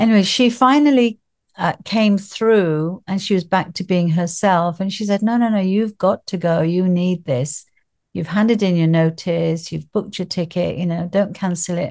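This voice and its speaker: A plain, everyday voice talks at a moderate pace with ordinary pitch variation. The background is quiet. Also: woman, medium pitch for a woman. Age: 60s. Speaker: grief coach. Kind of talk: casual interview chat.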